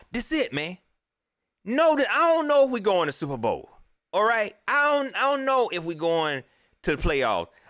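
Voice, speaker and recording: With an American accent and an animated tone, the speaker moves at a moderate pace through very wide pitch swings and long, frequent pauses on a very clean recording with a silent background. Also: man, extremely high pitch for a man. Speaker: sports livestream host. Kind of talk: casual live stream commentary reading chat. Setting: live stream. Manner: animated, repetitive.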